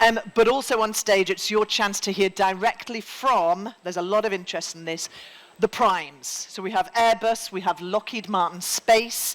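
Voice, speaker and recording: A woman with a Geordie accent, medium pitch, moderate pace, fairly even intonation and big swings in loudness. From northern England (Newcastle, Geordie). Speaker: event host, former journalist. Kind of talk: conference MC address. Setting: main stage with live audience. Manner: informal, relaxed.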